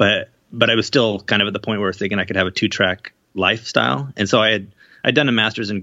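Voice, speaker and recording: A man speaks very fast in a fairly low voice with fairly even intonation. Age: 30s. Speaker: novelist and video game writer. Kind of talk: casual interview.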